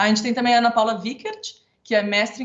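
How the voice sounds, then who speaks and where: The woman's voice is somewhat breathy and fairly high in pitch. She talks at a very fast pace. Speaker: architect and council member moderating panel. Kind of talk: event moderation. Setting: online event, video call.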